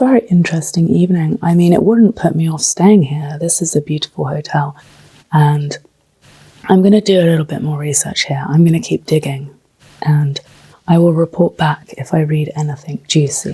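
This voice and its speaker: A woman's dark, mellow, somewhat breathy voice at a moderate pace with ordinary pitch variation. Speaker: travel vlogger. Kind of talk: vlog narration. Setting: hotel room.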